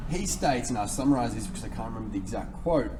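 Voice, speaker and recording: Audible room echo follows a man who speaks in an Australian accent. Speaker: fitness coach. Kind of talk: tutorial.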